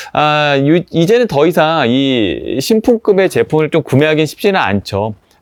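The voice moves at a fairly slow pace, with very wide pitch swings. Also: man, fairly high pitch for a man, very even loudness. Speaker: vintage product channel host. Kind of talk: product review monologue. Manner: hesitant with filler sounds.

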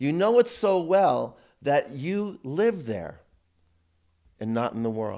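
Against a quiet background, a man is speaking. His tone is dark and mellow. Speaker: priest teaching a seminar. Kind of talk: sermon. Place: church.

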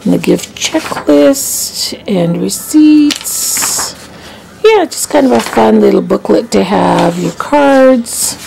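A woman's voice over light background noise. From Canada. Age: 60s. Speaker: vlogger. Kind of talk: casual vlog. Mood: relaxed, chatty. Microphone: phone near.

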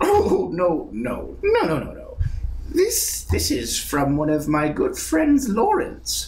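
A man puts on a character voice and speaks at a very slow pace amid clear background noise. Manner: creepy, sly, repetitive.

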